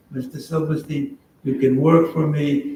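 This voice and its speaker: A man's somewhat breathy voice, fairly high in pitch, with monotone, flat intonation. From Poland, raised in Buffalo, US. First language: Yiddish. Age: 80s+. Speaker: Holocaust survivor. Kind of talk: testimony with audience Q&A. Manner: halting, repeats words.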